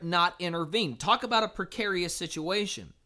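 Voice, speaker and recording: A man's raised, projected voice, high in pitch with a bright, sharp tone. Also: very clean recording, silent background. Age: 30s. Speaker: pastor. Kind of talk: sermon. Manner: halting.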